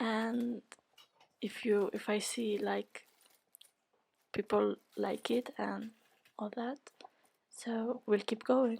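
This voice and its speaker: A woman with a non-native accent and a fairly high pitch, flat, monotone intonation, a very slow pace and long, frequent pauses. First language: not English. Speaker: beauty YouTuber. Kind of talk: tutorial. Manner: casual, hesitant with fillers.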